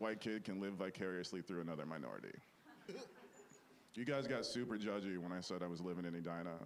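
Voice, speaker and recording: A man with an American accent speaks very fast, with a very deep, low pitch and ordinary pitch variation. Long, frequent pauses break up his speech, and room echo is audible. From Minnesota, US (Bloomington). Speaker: stand-up comedian. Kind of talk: stand-up.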